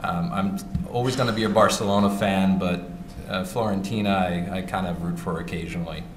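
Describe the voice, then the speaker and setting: A man's very deep, low voice with a New York accent, fairly even intonation and a fairly quick pace, with audible room echo and music in the background. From New York City. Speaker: wine importer, company founder. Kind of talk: panel talk at trade conference. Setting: stage with audience.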